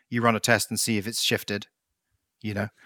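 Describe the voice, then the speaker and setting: Speaking with an English accent at a fairly quick pace, a man with a medium pitch has a bright, sharp tone, heard in a dry, close sound with no echo on a very clean recording with a silent background. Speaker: podcast co-host, software developer. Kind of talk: casual chat.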